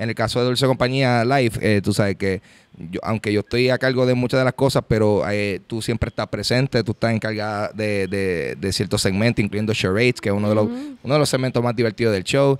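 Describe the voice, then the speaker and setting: At a fairly quick pace, a man speaks with fairly even intonation in a dry recording with no echo. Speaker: podcast host. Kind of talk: casual podcast chat. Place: hall. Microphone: studio mic.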